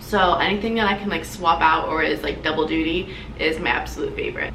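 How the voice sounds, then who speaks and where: A woman talks at a fairly quick pace with an American accent. Room echo is audible, and background noise is noticeable. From New Jersey, central shore. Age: 20s. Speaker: beauty vlogger. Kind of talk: get-ready-with-me vlog. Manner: animated.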